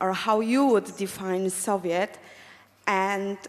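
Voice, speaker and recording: A woman is talking at a fairly slow speed. She has a non-native accent. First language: not English. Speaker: audience member. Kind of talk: audience question.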